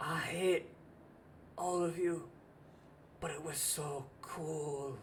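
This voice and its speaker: A strained, put-on character voice at a middle pitch and a very slow pace, with audible echo. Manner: resentful, weary.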